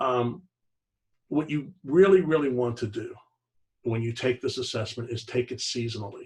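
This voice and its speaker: A man speaks at a moderate pace in a medium pitch, with ordinary pitch variation. His voice is somewhat breathy, and he leaves long, frequent pauses. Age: 60s. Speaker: network marketing distributor. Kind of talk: sales pitch. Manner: casual.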